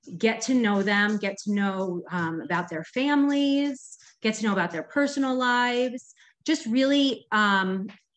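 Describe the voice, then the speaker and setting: A woman with a fairly high pitch speaks at a fairly slow pace, her voice shaky and her intonation lively. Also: quiet background. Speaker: direct sales consultant. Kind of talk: training talk.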